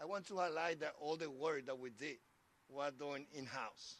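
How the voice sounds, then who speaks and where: Against noticeable background noise, a man with a Spanish accent speaks at a fairly high pitch with fairly even intonation. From Dominican Republic. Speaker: transportation commissioner. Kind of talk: public speech.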